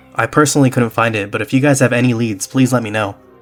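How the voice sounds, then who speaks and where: A man talks at a very fast pace with fairly even intonation. Music plays in the background. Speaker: theme park YouTuber. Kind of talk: casual video narration.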